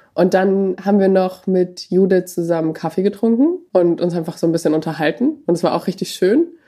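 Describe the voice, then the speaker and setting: A woman speaks fairly quickly in a dark, mellow, medium-pitched voice, with ordinary pitch variation. She hardly pauses and keeps her loudness very even. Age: 20s. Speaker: medical student. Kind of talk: personal storytelling interview.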